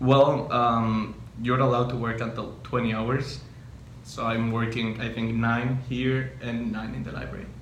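A man at a fairly slow pace with fairly even intonation, audible room echo and light background noise. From Mexico, Cotija, Michoacán; Michoacán, Mexico. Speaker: university student; interviewee. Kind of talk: interview. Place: meeting room.

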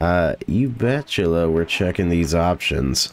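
A man speaks in a relaxed tone. His pace is very slow. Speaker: gaming YouTuber. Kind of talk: gameplay commentary. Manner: relaxed, chill; hesitant, many fillers.

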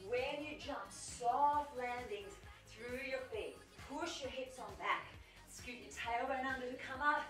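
Faint music plays behind a woman with a high voice. She speaks at a fairly slow pace amid audible room echo. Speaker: fitness instructor. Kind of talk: workout instruction. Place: home room.

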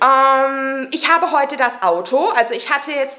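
A woman's high-pitched voice over faint background noise. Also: fairly bright tone.

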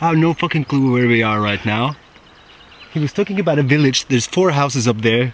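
The sound is dry with no echo. A man speaks with ordinary pitch variation. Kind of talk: casual vlog chat. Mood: unsure, a bit lost. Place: open country. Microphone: camera far.

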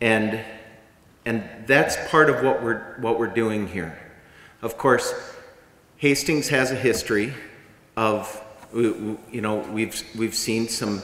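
Amid audible room echo, a man speaks very slowly at a medium pitch with fairly even intonation and long, frequent pauses. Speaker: community organizer. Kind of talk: public speaking. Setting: stage with audience. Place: hall. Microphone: podium.

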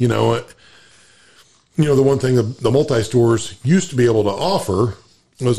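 This man has a dark, mellow tone that is somewhat breathy, and his intonation is lively. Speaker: farmer and podcast co-host. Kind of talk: casual chat.

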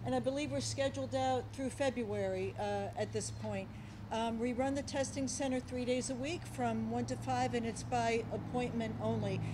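A woman's moderate-paced speech is heard over noticeable background noise. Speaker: hospital president. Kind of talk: public remarks. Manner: halting. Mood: warm, appreciative. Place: hall. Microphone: podium.

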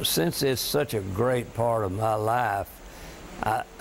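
A man with a Southern US accent at a very slow pace, medium pitch and ordinary pitch variation, over noticeable background noise. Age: 70s. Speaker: high school football coach. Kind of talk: interview answer.

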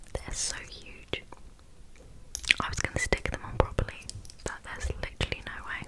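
A woman is whispering in a soft-spoken way. Her pace is moderate. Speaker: ASMR-style vlogger. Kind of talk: casual vlog chat. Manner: soft close-mic ASMR whisper. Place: home room. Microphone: studio mic.

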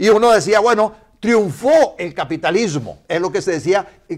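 The quiet setting lets a man be heard speaking fairly slowly, his intonation lively. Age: 60s. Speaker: politician. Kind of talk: casual chat; interview answer. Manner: halting. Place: studio. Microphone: lapel.

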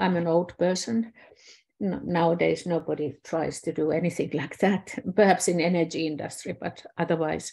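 With a Finnish accent, a woman speaks at a moderate pace and fairly low pitch, her tone dark and mellow and her intonation fairly even, against a quiet background. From Finland. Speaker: systems scientist; presenter. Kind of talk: online presentation. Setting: video call. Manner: halting. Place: home room. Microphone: webcam.

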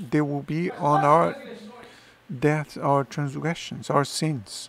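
Recorded with a dry sound with no echo but noticeable background noise, a man talks at a fairly high pitch. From Brazil, Bahia. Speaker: pastor. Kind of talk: sermon. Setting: church. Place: church. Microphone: headset.

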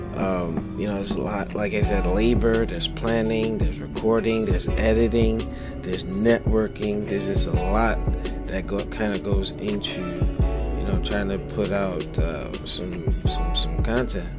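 Loud music plays in the background. Over it, a man talks at a fairly slow pace. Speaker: motovlogger. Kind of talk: casual vlog chat. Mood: reflective, candid. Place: motorbike.

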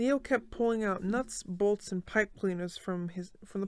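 The pitch varies in an ordinary way throughout a natural reading voice.

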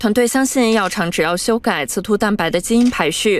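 A woman with a fairly high pitch speaks at a moderate pace with ordinary pitch variation. She has a normal speaking voice. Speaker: news reporter. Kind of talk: news voiceover.

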